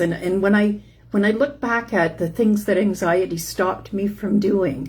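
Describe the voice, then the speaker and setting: A woman speaks in a somewhat breathy voice. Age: 60s. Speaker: chronic illness support host. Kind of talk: casual live-stream talk. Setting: Facebook live stream. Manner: halting, many fillers.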